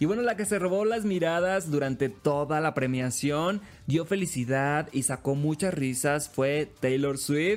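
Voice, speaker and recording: Animated and lively in intonation, a man speaks at a fairly high pitch with very even loudness. He goes at a fairly slow pace with hardly any pauses. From Sinaloa, Mexico (Los Mochis). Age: young. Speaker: radio host. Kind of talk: casual chat.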